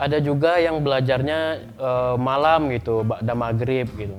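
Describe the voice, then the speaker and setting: With a Sumatran accent, a man talks at a moderate pace in a medium pitch with ordinary pitch variation, over noticeable background noise and audible room echo. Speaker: school guidance counselor. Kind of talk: educational talk. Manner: hesitant, many fillers.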